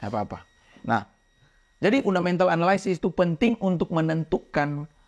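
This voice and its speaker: Lively intonation marks a man's high voice at a fairly quick pace, in a dry, close sound with no echo. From Indonesia, outside Jakarta. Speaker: crypto trading educator. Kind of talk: casual educational chat. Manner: clear, emphatic speech.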